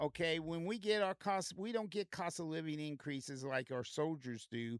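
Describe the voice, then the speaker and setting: With an Indiana accent, a man sounds animated, his fairly high pitch full of lively intonation, captured dry and close with no echo. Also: moderate pace. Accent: Midwestern US (Indiana). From Indiana, Grant County. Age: 60s. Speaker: podcast co-host. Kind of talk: political discussion.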